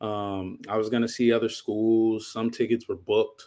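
A man's fairly low, monotone voice with an American accent and flat intonation, on a very clean recording with a silent background. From Inglewood, California. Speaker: college football player. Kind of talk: podcast interview.

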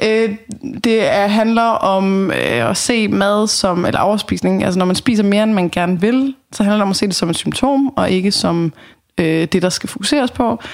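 A woman with an ordinary speaking voice talks at a fairly slow pace and a medium pitch, with very even loudness and ordinary pitch variation. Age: 30s. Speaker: dietary counselor. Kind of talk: casual chat. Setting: home kitchen.

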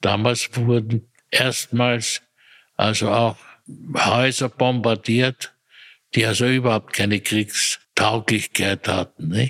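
Speaking very slowly in a Viennese accent, a man holds a medium pitch with monotone, flat intonation and very even loudness, recorded dry and close with no echo. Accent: Viennese Austrian German. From Austria, Vienna area. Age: 80s+. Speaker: retired personnel manager. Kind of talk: interview. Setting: echoey room.

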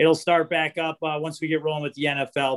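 A man's fairly high voice with an American accent, a very fast pace and fairly even intonation. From Chicago. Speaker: sports betting show host, fan caller. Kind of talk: casual chat.

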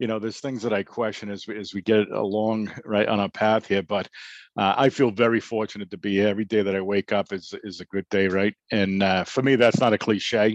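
In a strong Boston accent, a man with a fairly low pitch talks at a fairly quick pace in a monotone, flat delivery, recorded with a dry, close sound, no echo and a quiet background. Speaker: author. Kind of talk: interview.

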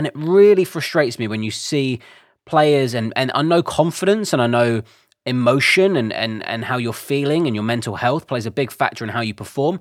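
A man speaks at a fairly quick pace with a medium pitch. The recording is very clean, with a silent background. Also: lively intonation. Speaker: football podcast co-host and club presenter. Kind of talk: casual chat. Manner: soothing.

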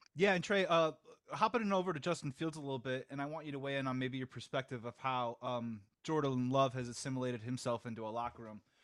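The speaker is a man with ordinary pitch variation. He talks at a very fast pace. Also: medium pitch for a man. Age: 40s. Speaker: podcast host. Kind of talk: casual sports chat.

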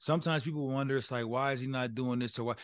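This man talks very fast with an American accent, his pitch medium. The background is quiet. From Colorado. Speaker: former college football player, podcast co-host. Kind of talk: casual chat. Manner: animated.

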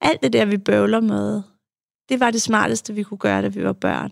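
A woman at a fairly slow pace. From Denmark, Farum. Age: 40s. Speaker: psychologist and author. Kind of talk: interview about personal life. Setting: studio.

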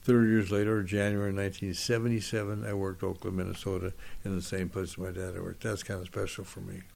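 Speaking very fast with an American accent, a man with a fairly low voice talks in a monotone, flat intonation over audible room echo. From US West Coast, Los Angeles area. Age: 80s+. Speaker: retired football referee and former school principal. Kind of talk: interview. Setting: at his home.

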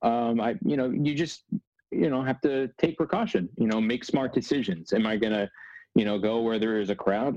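A man with an American accent, a normal speaking voice, medium pitch, ordinary pitch variation and a moderate pace. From Northern New Jersey. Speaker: sports broadcaster. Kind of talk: casual interview chat.

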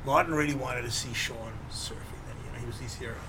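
Pitch rises and falls a normal amount over noticeable background noise. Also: man. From South Africa. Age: 60s. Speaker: filmmaker and surfer. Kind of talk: interview. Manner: casual, rambling.

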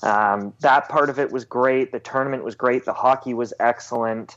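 A man with an ordinary speaking voice keeps his intonation fairly even and his speed moderate. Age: 20s. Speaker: sports journalist. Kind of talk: casual interview.

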